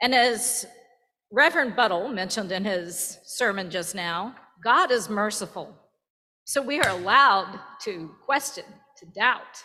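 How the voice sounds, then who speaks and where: A woman's bright, sharp voice with a Virginian accent, fairly high pitch, lively intonation and a very slow pace. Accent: Virginian Southern US. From Virginia, US South. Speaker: church member. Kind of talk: testimony. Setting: church.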